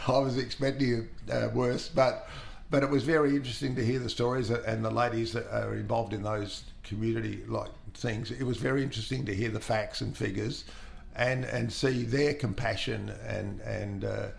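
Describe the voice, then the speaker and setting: Audible room echo surrounds a man talking at a moderate pace with an Australian accent. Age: 70s. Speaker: long-serving steelworks employee. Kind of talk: interview. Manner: halting, many fillers.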